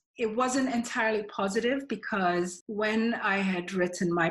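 A woman speaks at a moderate pace with ordinary pitch variation and a somewhat breathy quality. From Nigeria, Lagos. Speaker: author. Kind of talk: interview.

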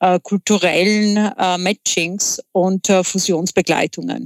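A woman with a Czech accent speaks at a very slow pace in a medium-pitched voice. Her intonation is monotone and flat, and the sound is dry and close with no echo. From Czech Republic. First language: Czech (speaking German). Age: 40s. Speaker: entrepreneur. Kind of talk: interview. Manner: halting, many filler sounds.

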